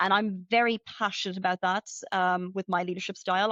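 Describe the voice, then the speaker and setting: A woman at a medium pitch with an Irish accent and fairly even intonation. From Ireland. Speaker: retail finance executive. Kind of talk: interview. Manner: fast, many fillers.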